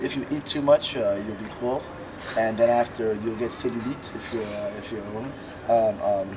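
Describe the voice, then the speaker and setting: With an American accent, a man at medium pitch talks at a moderate pace with fairly even intonation while noticeable background noise runs underneath. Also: big swings in loudness. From Caribbean (Trinidad), raised mostly in Washington DC. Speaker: musician. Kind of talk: interview. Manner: loud; casual.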